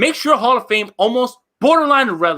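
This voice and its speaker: A loud, animated voice with an American accent at a fairly quick pace, on a very clean recording with a silent background. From New Jersey. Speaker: sports podcaster. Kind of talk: heated debate.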